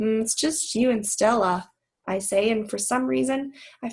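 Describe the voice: Against a quiet background, the speaker reads aloud plainly with ordinary pitch variation.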